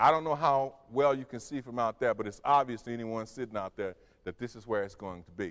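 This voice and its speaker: Speaking fairly quickly with an American accent, a man has an ordinary speaking voice at medium pitch, ordinary pitch variation and big swings in loudness. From US South, Memphis Tennessee. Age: 40s. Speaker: human resources executive, public speaker. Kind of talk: lecture.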